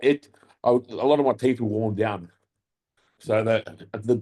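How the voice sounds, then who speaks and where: A dark, mellow tone with an Australian accent and fairly even intonation, dry and close with no echo. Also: man. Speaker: podcast co-host and bodybuilder. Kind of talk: casual chat.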